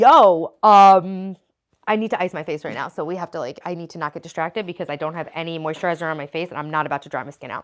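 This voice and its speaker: On a very clean recording with a silent background, a woman with a New York accent talks at a very fast pace in an animated tone with ordinary pitch variation. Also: fairly low pitch for a woman, big swings in loudness. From New York, Italian-American. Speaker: livestreamer. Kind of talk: casual livestream chat.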